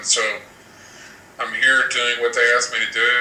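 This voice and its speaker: A man is speaking here. The recording has audible room echo and noticeable background noise. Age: 40s. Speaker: telepathic bigfoot communicator. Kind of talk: live show interview.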